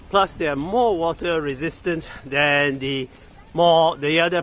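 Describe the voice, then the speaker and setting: Noticeable background noise sits under a man whose fairly high pitch holds a fairly even intonation. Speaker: tech product reviewer. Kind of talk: casual hands-on review vlog. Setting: outdoors walking. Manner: loud; halting.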